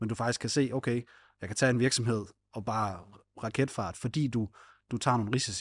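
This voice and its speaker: A somewhat breathy man's voice at medium pitch, with ordinary pitch variation, a fairly quick pace broken by long, frequent pauses, and a quiet background. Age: 30s. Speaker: podcast co-host. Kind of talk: podcast interview.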